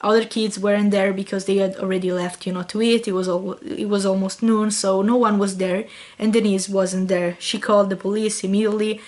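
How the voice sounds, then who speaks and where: A woman talks at a fairly quick pace with hardly any pauses, her medium-pitched voice monotone and flat. Noticeable background noise sits behind her. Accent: Italian. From Italy. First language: Italian. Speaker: YouTuber. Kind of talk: vlog storytelling. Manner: casual, reading from notes at times.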